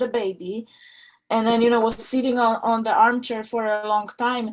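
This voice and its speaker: A woman with a Polish accent talks at a moderate pace, her fairly high voice held in monotone, flat intonation. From Poland. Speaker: audience member asking a question. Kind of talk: casual chat. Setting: video call. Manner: halting.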